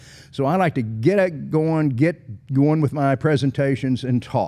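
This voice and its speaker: An animated man talks with an American accent. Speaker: leadership speaker and podcast host. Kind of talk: motivational podcast monologue. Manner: fast.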